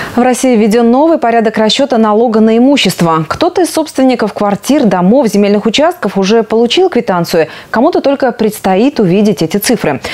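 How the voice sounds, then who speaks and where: A woman talks at a fairly quick pace and a fairly high pitch. Her voice moves in very wide pitch swings. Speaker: news anchor. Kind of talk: news reading. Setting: studio. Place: studio. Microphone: lapel.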